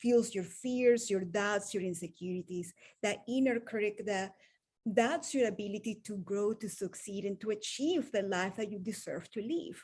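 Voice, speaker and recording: Somewhat breathy and in a Venezuelan accent, the voice moves at a moderate pace with ordinary pitch variation, on a very clean recording with a silent background. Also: woman. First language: Spanish. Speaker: wellness coach. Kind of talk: motivational talk.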